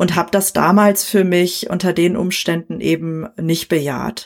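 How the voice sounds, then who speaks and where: A woman's plain, everyday voice, medium in pitch, with fairly even intonation. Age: 40s. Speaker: coach and trainee therapist. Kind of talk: interview, personal conversation.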